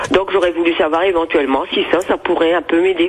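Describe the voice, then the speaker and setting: A woman talks against noticeable background noise. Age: 80s+. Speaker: caller. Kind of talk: call-in question. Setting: phone call.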